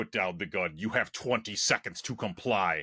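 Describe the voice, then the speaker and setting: In a put-on character voice that sounds robotic, a man speaks with a very deep, low pitch on a very clean recording with a silent background. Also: moderate pace. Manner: menacing, authoritative, mechanical.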